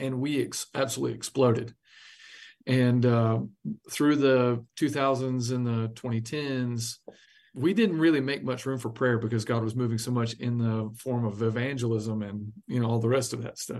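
A man with an American accent and a plain, everyday voice talks at a medium pitch and a moderate pace with fairly even intonation. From US South, South Carolina. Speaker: pastor. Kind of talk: interview.

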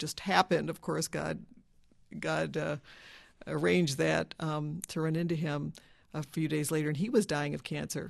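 A woman's very deep, low voice with vocal fry at a moderate pace. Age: 60s. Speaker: dentist. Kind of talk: personal testimony interview.

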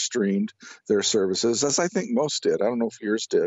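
In a plain, everyday voice, a man talks at a moderate pace and a medium pitch. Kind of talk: interview. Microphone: connection breaking up.

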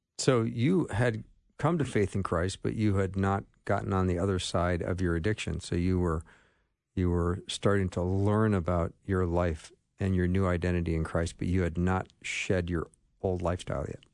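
A man's very deep, low voice moves at a moderate pace with ordinary pitch variation, the background quiet. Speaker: radio host. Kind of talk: casual chat. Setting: studio.

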